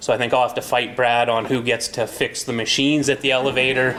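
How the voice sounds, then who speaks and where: With a Canadian prairie accent, the speaker goes at a fairly quick pace over noticeable background noise. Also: man. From Stettler, Alberta, Canada. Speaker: high school basketball coach. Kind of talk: public meeting self-introduction. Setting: community meeting hall, no microphone.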